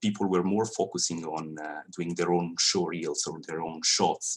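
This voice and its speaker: A man with a Swiss Italian accent speaks at a fairly slow pace. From Italian-speaking Switzerland. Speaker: 3D animator. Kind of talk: industry talk to students. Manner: halting.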